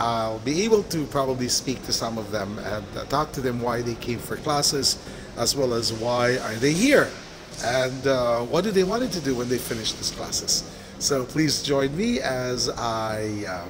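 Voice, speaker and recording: Clear background noise accompanies speech at a moderate speed. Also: man, ordinary pitch variation. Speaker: video blog host. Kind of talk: casual vlog intro. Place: hall. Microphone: phone near.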